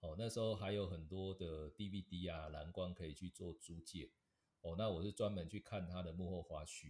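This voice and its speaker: Somewhat breathy and very deep, a man's dark, mellow voice moves at a moderate pace with fairly even intonation on a very clean recording with a silent background. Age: 40s. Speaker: advertising director. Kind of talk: interview.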